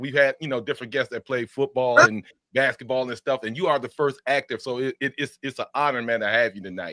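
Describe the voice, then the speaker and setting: The man speaks at a medium pitch and a fairly quick pace, with a bright, sharp tone. The sound is dry and close with no echo, on a very clean recording with a silent background. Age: 50s. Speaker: podcast host. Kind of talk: casual chat.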